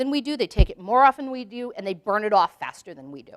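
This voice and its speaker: A woman speaks at a fairly quick pace with a fairly high pitch and lively intonation. The sound is dry and close, with no echo. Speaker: veterinary behaviorist giving a lecture. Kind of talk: lecture. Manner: fast.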